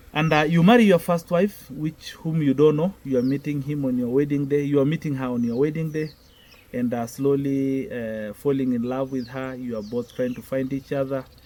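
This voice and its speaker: With a Kenyan accent, a man speaks at a moderate pace and a fairly high pitch, with ordinary pitch variation. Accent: Kenyan Maasai. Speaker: Maasai elder. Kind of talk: interview answer.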